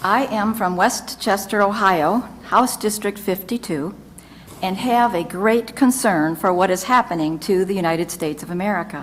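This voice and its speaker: Noticeable background noise accompanies a woman at medium pitch, speaking at a moderate pace with ordinary pitch variation. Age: 60s. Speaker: retiree giving testimony. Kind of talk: testimony. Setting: legislative committee hearing. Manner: formal.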